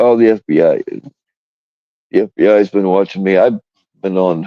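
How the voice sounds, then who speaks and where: A man mumbles at a moderate pace. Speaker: live streamer. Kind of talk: casual live stream chat. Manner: mumbling.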